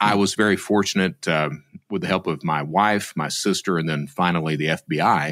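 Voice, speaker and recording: In an Appalachian accent, a man speaks at a moderate pace with a very deep, low pitch. The recording is very clean, with a silent background. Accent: Appalachian Southern US. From Eastern Kentucky, US South. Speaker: former fraudster turned security expert. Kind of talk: interview.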